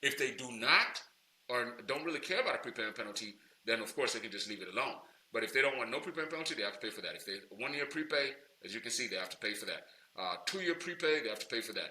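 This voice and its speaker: Against noticeable background noise, a man speaks at a very fast pace in a medium pitch with lively intonation. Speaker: loan broker trainer. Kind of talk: tutorial. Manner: casual, many fillers.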